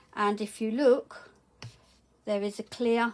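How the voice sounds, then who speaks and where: A woman speaks at a very slow pace, her pitch fairly high. Behind her is noticeable background noise. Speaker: small business owner. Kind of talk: tutorial. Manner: halting.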